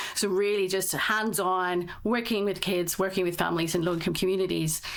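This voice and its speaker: This woman speaks at a medium pitch with fairly even intonation. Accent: British. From northeast England. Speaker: tech startup founder. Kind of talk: podcast interview. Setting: remote video call recording.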